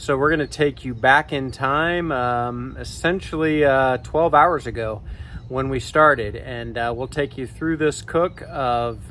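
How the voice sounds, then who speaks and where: A man at medium pitch and a fairly slow pace, with ordinary pitch variation. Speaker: barbecue cooking channel host. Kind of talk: cooking tutorial. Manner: quiet, keeping voice down.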